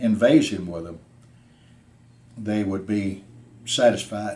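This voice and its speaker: Very slowly, a man speaks in a fairly low pitch, his dark, mellow tone carrying fairly even intonation. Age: 80s+. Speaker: war veteran. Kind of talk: testimony. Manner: halting.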